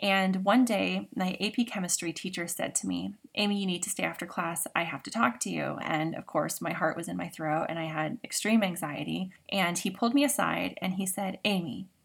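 A woman's medium-pitched voice with vocal fry, ordinary pitch variation and a moderate pace. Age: 40s. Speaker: podcast host, trauma healing. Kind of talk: solo podcast monologue. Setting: home recording in makeshift blanket fort.

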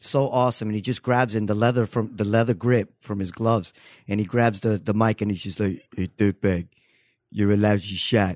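Against a quiet background, a man with an unremarkable speaking voice and an American accent talks at a moderate pace and a fairly low pitch, the sound dry and close with no echo. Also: fairly even intonation. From Queens, New York. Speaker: comedian and podcast guest. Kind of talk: casual chat.

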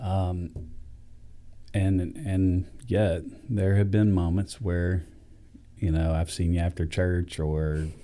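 With a Southern US accent, a man speaks in a very deep, low pitch with a dark, mellow tone and fairly even intonation. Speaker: pastor. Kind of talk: interview. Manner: warm, conversational.

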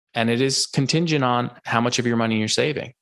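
Over a quiet background, a man talks at a fairly quick pace and medium pitch, with fairly even intonation and vocal fry. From US Northeast. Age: 30s. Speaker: finance podcaster and investor. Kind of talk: casual interview.

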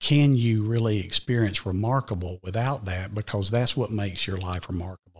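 A man speaks at a moderate pace with a Southern US accent, his pitch fairly low and his voice somewhat breathy. The sound is dry and close with no echo, on a very clean recording over a silent background. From Georgia, US South. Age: 50s. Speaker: school district administrator. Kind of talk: casual interview chat. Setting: studio.

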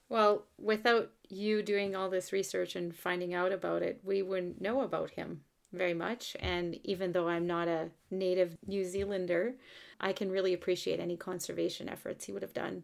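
Medium in pitch, this woman has an unremarkable speaking voice with fairly even intonation. She talks at a moderate pace on a very clean recording with a silent background. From French Canada. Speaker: podcast host. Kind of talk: interview.

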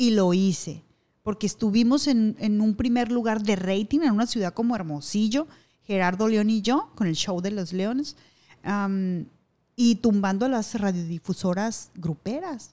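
A woman's medium-pitched voice, fairly slow, with ordinary pitch variation. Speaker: radio announcer and TV news anchor. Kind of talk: casual interview.

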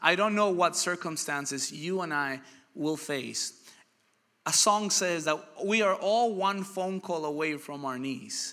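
With a high pitch and a bright, sharp tone, a man speaks in an animated way at a fairly slow pace, his pitch varying in an ordinary way. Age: 30s. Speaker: pastor. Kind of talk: sermon.

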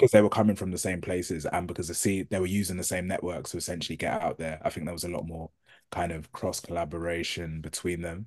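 Over a quiet background, a man with a British accent speaks very fast in a very deep, low pitch with flat, monotone intonation. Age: 30s. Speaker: journalist and author. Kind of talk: interview conversation.

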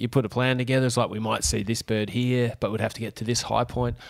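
A man speaks with an Australian accent. His pitch variation is ordinary. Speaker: podcast co-host. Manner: joking, laughing.

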